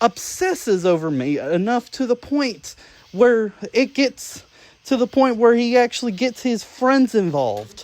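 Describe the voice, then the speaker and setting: Heard in a dry, close sound with no echo, a woman speaks at a fairly high pitch with very wide pitch swings. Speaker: YouTuber responding to drama. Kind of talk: angry rant to camera. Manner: halting, many fillers.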